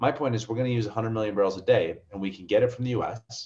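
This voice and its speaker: Over a quiet background, a man talks at a very fast pace. His voice is somewhat breathy. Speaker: oil and gas industry commentator. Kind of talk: casual interview chat.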